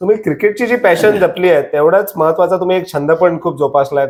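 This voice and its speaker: This man's voice is pitched high. It moves up and down in an ordinary way. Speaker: interviewer. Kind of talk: interview questions.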